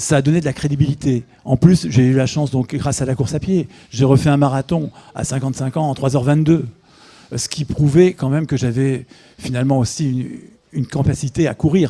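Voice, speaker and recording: With long, frequent pauses, a man speaks at a fairly quick pace and a fairly high pitch, his tone dark, mellow and somewhat breathy and his intonation fairly even. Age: 60s. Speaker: author and amateur runner. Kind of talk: interview. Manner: halting, with repetitions and hesitations.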